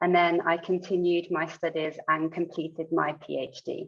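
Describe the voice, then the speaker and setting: Flat, monotone intonation from a woman with a British accent, fairly low in pitch, at a moderate pace. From United Kingdom. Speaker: sports scientist. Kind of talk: lecture.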